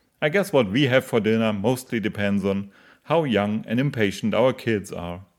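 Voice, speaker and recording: A man with a German accent at a moderate pace and ordinary pitch variation, on a very clean recording with a silent background. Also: medium pitch for a man. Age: 40s. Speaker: podcast contributor, father. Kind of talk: scripted narration.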